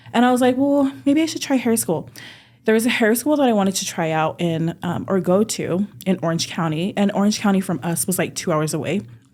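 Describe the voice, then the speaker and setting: A woman with an American accent, medium pitch, very wide pitch swings and a fairly quick pace. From Utah and California, US. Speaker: hair stylist and salon owner. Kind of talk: casual podcast interview.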